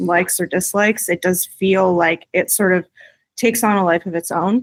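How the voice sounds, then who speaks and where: Recorded very cleanly against a silent background, the sound is dry and close with no echo. A woman speaks with a Canadian accent at a medium pitch, with ordinary pitch variation. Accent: Canadian accent, sounds upbeat. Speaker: indie musician in a band. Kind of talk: casual interview chat.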